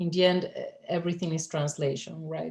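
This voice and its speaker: A speaker with a Spanish accent. The pace is moderate. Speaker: poet and translator. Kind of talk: panel Q&A answer. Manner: halting, many fillers.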